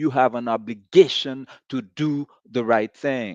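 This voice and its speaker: Very slowly, a man talks at a medium pitch, recorded dry and close with no echo against a quiet background. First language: not English (third language). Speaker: podcast host. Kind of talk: monologue commentary. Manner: animated.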